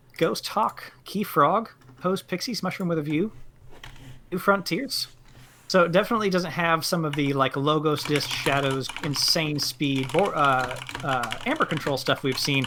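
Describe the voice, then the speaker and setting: Against noticeable background noise, a man with an American accent talks at a moderate pace in a fairly high pitch with ordinary pitch variation. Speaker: game commentator. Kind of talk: live commentary.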